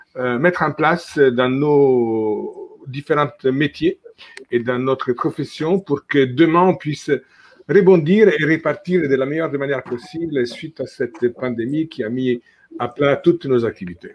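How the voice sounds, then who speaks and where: With an Italian accent, a man speaks in a fairly high pitch. His pace is fairly slow. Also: ordinary pitch variation. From Italy. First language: Italian (speaking French). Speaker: travel industry association president. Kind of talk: video conference panel introduction. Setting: video call.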